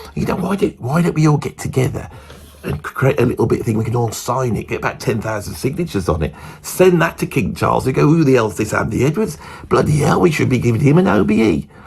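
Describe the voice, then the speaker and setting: A man with a medium pitch talks at a very fast pace with very wide pitch swings. Noticeable background noise runs throughout. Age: 50s. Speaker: musician and guitar teacher. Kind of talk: casual monologue.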